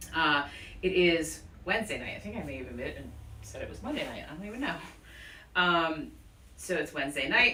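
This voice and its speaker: A woman mumbling at a fairly quick pace, with big swings in loudness and long, frequent pauses, amid noticeable background noise and audible room echo. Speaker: yoga teacher. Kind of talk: guided yoga class. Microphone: speaking without mask, worried voice won't carry.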